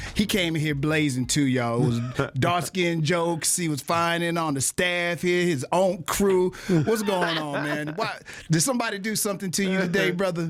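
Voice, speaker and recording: Music plays behind a man whose voice sits high in pitch with ordinary pitch variation, and he leaves hardly any pauses. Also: moderate pace. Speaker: radio host. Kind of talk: radio interview host.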